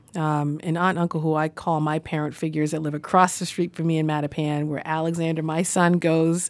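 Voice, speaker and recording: In a very clean recording with a silent background, a woman with an American accent speaks at a fairly quick pace. Her very deep, low voice stays monotone and flat. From Boston. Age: 30s. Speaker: city council president. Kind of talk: interview.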